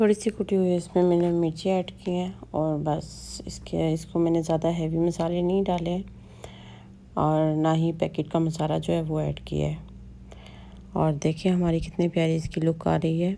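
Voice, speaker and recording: A woman talks fairly slowly while light noise sits in the background. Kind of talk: cooking tutorial. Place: kitchen.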